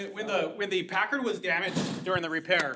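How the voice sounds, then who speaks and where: A man speaks loudly. His pitch is high. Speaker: city water utility staff. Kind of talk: public meeting Q&A.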